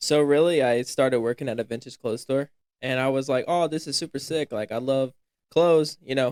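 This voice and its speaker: A man with an American accent speaks at a medium pitch. His pace is very fast. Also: dry, close sound with no echo. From US South (upstate South Carolina). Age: young (19). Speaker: college student, fashion stylist. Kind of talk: casual podcast chat.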